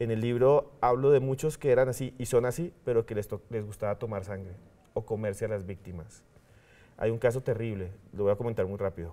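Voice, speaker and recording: A man speaks at a fairly quick pace with a medium pitch, a dark, mellow tone and ordinary pitch variation. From Colombia, Bogotá. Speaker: TV presenter and professor; TV guest. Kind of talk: interview. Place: studio. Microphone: lapel.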